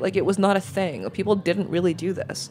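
A woman speaks with an American accent at a medium pitch. Vocal fry runs through her voice. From New York. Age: 30s. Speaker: food media editor. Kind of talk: casual interview.

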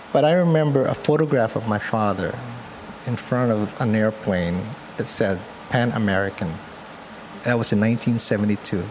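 A man speaks at a moderate pace in a medium pitch, with long, frequent pauses. Noticeable background noise is audible. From Philippines (Pampanga). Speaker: photographer. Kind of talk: interview.

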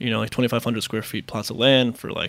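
The speaker is a man. He has an American accent. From US, Queens, New York. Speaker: restaurant managing partner. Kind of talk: interview. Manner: hesitant, many fillers.

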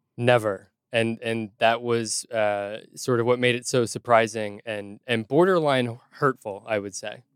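A man's normal speaking voice at medium pitch, dry and close with no echo, with hardly any pauses. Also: fairly even intonation. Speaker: litigant in a mock court comedy show. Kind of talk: casual comedic testimony. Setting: remote studio.

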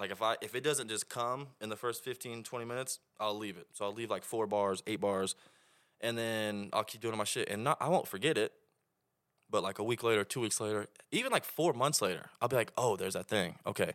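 In a very clean recording with a silent background and a dry, close sound with no echo, a man with an American accent speaks in an ordinary speaking voice at a medium pitch, a fairly quick pace and ordinary pitch variation. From Oklahoma. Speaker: rap artist. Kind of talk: casual chat.

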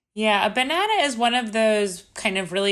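At a moderate pace, a woman speaks in a bright, sharp tone with ordinary pitch variation. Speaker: podcast host. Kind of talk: interview. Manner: giggly, casual.

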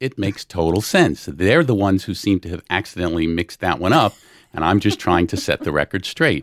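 A man with an American accent speaks at a moderate pace in a very deep, low pitch, his intonation lively. The recording is very clean with a silent background and a dry, close sound with no echo. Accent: New York-tinged with some New Orleans. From New Orleans. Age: 60s. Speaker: litigant in comedic dispute, semi-retired father. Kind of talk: casual testimony.

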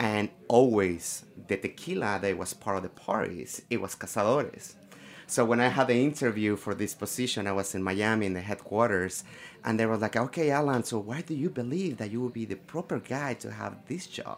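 A man with a Mexican accent, medium pitch and lively intonation at a fairly quick pace, on a very clean recording with a silent background. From Mexico, Guadalajara. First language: Spanish. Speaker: tequila brand ambassador. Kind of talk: casual chat.

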